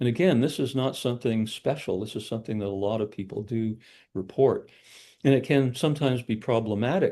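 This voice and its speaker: A man talks at a medium pitch and a fairly quick pace, his tone dark and mellow. His pitch varies in an ordinary way, and the background is quiet. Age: 60s. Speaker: psychologist and researcher. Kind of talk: casual interview conversation. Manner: halting, many fillers and repeats.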